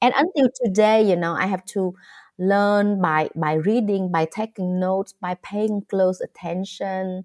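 Speaking in a Vietnamese accent at a fairly slow pace, the voice keeps a fairly even intonation. The sound is dry and close with no echo, in a very clean recording with a silent background. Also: woman, medium pitch for a woman. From rural Vietnam. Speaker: novelist and poet. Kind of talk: interview conversation.

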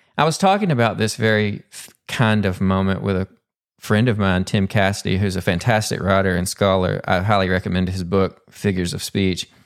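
Someone with a Southern US accent speaks at a fairly quick pace with fairly even intonation in a very clean recording with a silent background. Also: man, fairly low pitch for a man. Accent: Southern US, still present. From Arkansas (Pumpkin Bend). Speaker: poet and English professor, podcast host. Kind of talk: solo podcast monologue.

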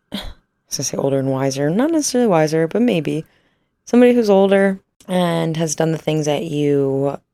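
Her voice is very deep and low. This woman speaks with a Midwestern accent. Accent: US Midwest (Ohio). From northern Ohio, US. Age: 20s. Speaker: podcast host. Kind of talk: casual solo chat. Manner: animated.

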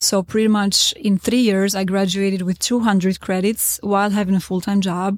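A woman with an Albanian accent speaks at a moderate pace and medium pitch, with hardly any pauses. Her intonation is monotone and flat, and her loudness stays very even. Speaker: real estate consultant. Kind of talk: interview. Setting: on location at a conference.

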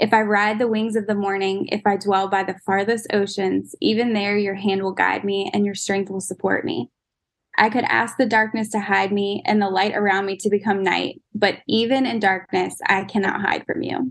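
A woman talks with an unremarkable speaking voice at a moderate pace. Her pitch is medium and her intonation fairly even. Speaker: church member, prayer guest. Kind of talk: fervent prayer, earnest spoken prayer. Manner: earnest, heartfelt, sincere.

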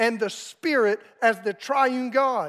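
Extremely high pitch from a man with a Southern US accent, ordinary pitch variation and a fairly slow pace. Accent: Southern American. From US South, South Carolina. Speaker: pastor. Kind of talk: storytelling; sermon.

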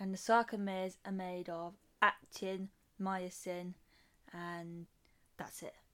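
Very slowly and with long, frequent pauses, a woman with an English accent talks at medium pitch in a monotone, flat intonation. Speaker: podcast co-host. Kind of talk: casual chat.

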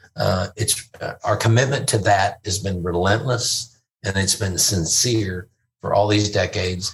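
A man speaks in a somewhat breathy voice at a fairly low pitch. His pace is fairly slow, with ordinary pitch variation. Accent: Texan. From Fort Worth, Texas. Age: 50s. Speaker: comedian. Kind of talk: casual interview chat. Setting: in-person studio.

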